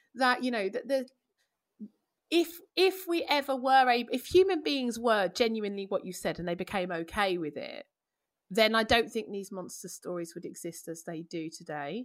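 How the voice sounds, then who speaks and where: A woman with a London accent speaks at a moderate pace and fairly high pitch, with very wide pitch swings and big swings in loudness. The recording is very clean, the background silent. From East London, England. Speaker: classicist and media presenter. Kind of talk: casual chat. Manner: animated.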